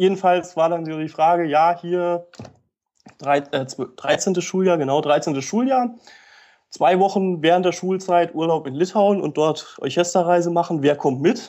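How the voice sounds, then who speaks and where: This man's voice sits high for a man, with a dark, mellow tone. He talks at a fairly slow pace against a quiet background. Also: ordinary pitch variation. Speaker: medical student. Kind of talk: casual interview.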